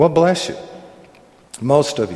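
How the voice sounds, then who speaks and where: Over noticeable background noise, a man speaks with a Southern US accent and ordinary pitch variation. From US South. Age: 60s. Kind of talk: sermon-style Bible teaching. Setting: room with live audience, microphone. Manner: jovial, laughs often and teases.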